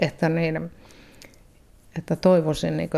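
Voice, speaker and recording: With vocal fry, a woman speaks in a dark, mellow tone. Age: 70s. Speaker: retired volunteer helping asylum seekers. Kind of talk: radio interview. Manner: halting.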